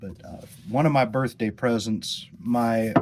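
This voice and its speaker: At a fairly slow pace, a man speaks in a dark, mellow tone at a fairly low pitch, with ordinary pitch variation. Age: 40s. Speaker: witchcraft practitioner and video host. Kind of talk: casual spiritual talk to camera. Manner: halting, many fillers and repeats.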